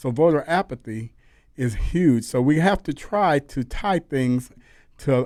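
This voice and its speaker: In a very clean recording with a silent background, a man with an American accent speaks at a fairly high pitch with lively intonation in a normal speaking voice. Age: 60s. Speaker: pastor and civil rights leader. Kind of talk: radio interview.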